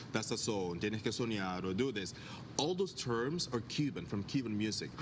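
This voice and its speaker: A man speaks at a fairly quick pace and medium pitch with ordinary pitch variation, and audible room echo surrounds his voice. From Panama. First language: Spanish. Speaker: dance festival founder. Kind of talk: TV interview. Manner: halting.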